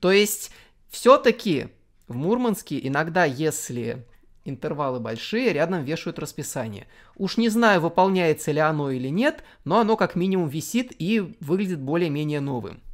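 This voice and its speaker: At a moderate pace, the speech is heard on a very clean recording with a silent background. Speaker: transport video blogger. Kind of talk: scripted narration.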